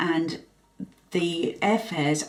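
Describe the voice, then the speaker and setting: A woman with an English accent speaks at a very deep, low pitch, with ordinary pitch variation. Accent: English accent, kept. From England. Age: 60s. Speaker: expat mother. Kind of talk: podcast interview. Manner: posh.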